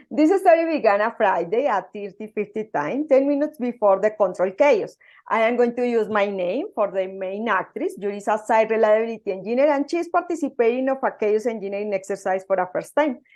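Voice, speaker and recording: A woman speaks with a Spanish accent and lively intonation at a fairly high pitch. The background is quiet. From Colombia. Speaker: software engineer and conference speaker. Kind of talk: conference talk. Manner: halting.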